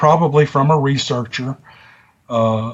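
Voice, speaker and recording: A somewhat breathy man with a strong Southern US accent, at a moderate pace with ordinary pitch variation. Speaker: YouTube story narrator. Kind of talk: casual interview chat. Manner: talkative.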